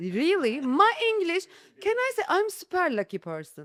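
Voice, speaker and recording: A woman with a Turkish accent at a fairly slow pace, her pitch swinging very widely, in a very clean, dry, close recording with a silent background and no echo. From Istanbul, Turkey. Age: 30s. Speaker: real estate agent. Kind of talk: podcast interview. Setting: studio.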